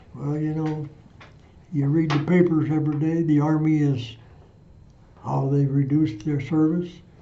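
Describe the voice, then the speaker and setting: Somewhat breathy and fairly high-pitched, a man speaks with a Midwestern US accent over audible room echo. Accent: US Midwest. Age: 80s+. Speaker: war veteran. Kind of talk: oral history interview. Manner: halting.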